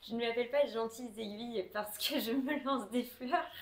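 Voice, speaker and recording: At a fairly slow pace over noticeable background noise, a woman talks with a fairly high pitch and ordinary pitch variation. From southwest France (Tarbes, near the Pyrenees). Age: 20s. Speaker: knitting podcaster. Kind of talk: casual chat. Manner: many hesitations (euh).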